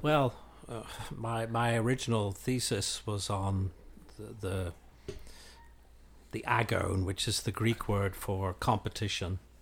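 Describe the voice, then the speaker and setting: Fairly low-pitched, somewhat breathy male voice at a fairly slow pace, with fairly even intonation and long, frequent pauses. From Northern Ireland and England. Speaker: classics professor. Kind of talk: interview conversation.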